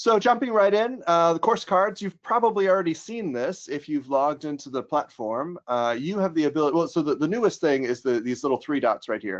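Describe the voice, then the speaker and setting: The speaker talks at a fairly quick pace with an American accent. The pitch swings very widely. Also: man. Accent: American accent, noticeable to Germans. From United States. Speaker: software trainer, former teacher. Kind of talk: webinar tutorial. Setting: online webinar with screen share. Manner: casual, many filler words.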